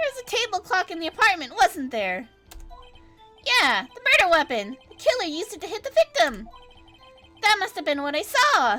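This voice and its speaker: Over faint music in the background, a woman performs a put-on character voice at a moderate pace. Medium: game stream. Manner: jumpy, stammering.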